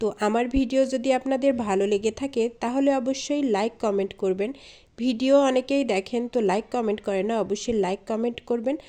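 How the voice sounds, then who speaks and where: A woman with a fairly high pitch speaks with fairly even intonation on a very clean recording with a silent background. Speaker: vlogger. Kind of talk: casual vlog narration. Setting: outdoors, riding a van rickshaw.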